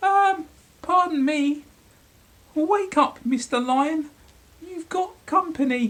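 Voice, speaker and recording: Raised and projected, a high-pitched put-on character voice goes very slowly with long, frequent pauses. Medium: read story. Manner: timid, polite.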